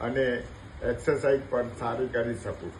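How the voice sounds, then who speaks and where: Over noticeable background noise, a man speaks at a medium pitch in a monotone, flat intonation. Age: 70s. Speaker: knee replacement patient. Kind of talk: patient testimonial.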